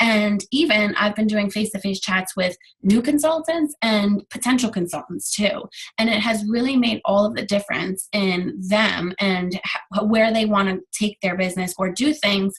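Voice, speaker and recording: A somewhat breathy woman's voice at medium pitch, with lively intonation. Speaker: direct sales team leader. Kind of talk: team training call. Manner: fast; animated.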